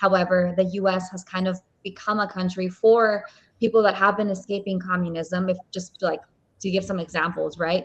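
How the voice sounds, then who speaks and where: A somewhat breathy woman at a medium pitch, moving at a fairly quick pace. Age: 20s. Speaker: podcast host. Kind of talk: podcast interview.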